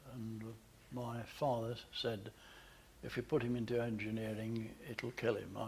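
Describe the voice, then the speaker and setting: A man's medium-pitched voice, somewhat breathy, fairly slow and flat in a monotone. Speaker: photographer, managing director. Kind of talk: interview answer. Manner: hesitant, conversational.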